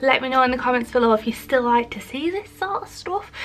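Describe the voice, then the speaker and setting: Faint music plays behind a woman speaking in a high pitch. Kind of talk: casual vlog chat. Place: workshop. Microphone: phone near.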